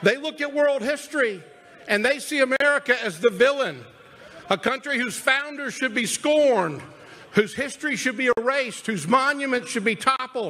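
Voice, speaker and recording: A man's raised, projected voice, extremely high in pitch, with ordinary pitch variation at a moderate pace. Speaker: party chairman and political speaker. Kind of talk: rally speech. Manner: emphatic, fiery; rhetorical, building in repeated phrases. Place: stadium. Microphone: podium.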